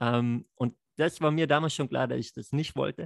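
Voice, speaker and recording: A man talks at a moderate pace with fairly even intonation. The sound is dry and close, with no echo. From Lake Constance region, southern Germany. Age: 30s. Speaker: network marketer. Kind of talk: podcast interview. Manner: hesitant, many fillers.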